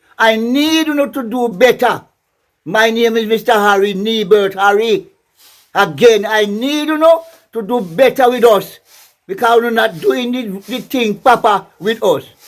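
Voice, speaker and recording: A man with a high pitch for a man talks at a fairly slow pace. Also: ordinary pitch variation. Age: 80s+. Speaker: church elder. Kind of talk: vox pop interview. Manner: emphatic.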